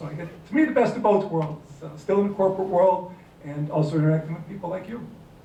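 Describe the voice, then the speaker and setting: A man speaks very fast with fairly even intonation. Audible room echo and noticeable background noise surround his voice. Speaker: business consultant. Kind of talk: panel talk.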